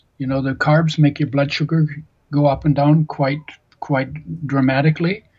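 Somewhat breathy, a man with a fairly high pitch speaks at a moderate pace with fairly even intonation. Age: 70s. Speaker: nutrition author and healthy oils expert. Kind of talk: interview.

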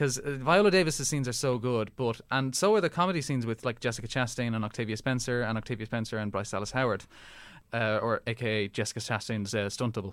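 Speaking very fast with an Irish accent, a man holds a medium pitch with ordinary variation. The recording is very clean, with a silent background. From Ireland. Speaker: podcast co-host. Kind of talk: casual chat.

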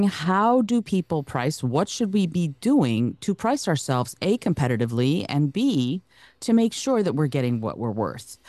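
A woman speaks at a fairly slow pace with very wide pitch swings. The sound is dry and close with no echo, and the background is quiet. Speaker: podcast host. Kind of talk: casual interview with scripted intro.

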